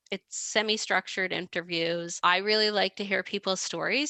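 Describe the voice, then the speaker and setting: In a Canadian accent, a woman with a bright, sharp tone speaks at a fairly quick pace, the sound dry and close with no echo against a quiet background. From western Canada (Victoria, British Columbia). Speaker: PhD researcher and former transplant caregiver. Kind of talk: podcast interview.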